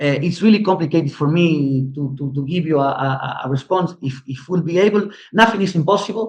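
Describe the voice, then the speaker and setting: A somewhat breathy man's voice at a fairly quick pace. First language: Spanish. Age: 60s. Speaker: history teacher and commentator. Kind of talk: interview. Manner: halting, many repetitions and fillers.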